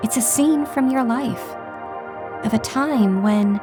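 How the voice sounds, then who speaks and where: A woman's soothing, calm voice at a fairly slow pace, with music in the background. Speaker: meditation guide. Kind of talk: guided meditation.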